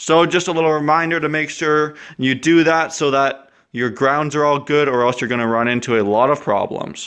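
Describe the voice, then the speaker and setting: A man's bright, sharp, fairly high voice at a moderate pace, with fairly even intonation and a quiet background. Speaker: car mechanic vlogger. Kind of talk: tutorial. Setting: home garage. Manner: casual, with filler words.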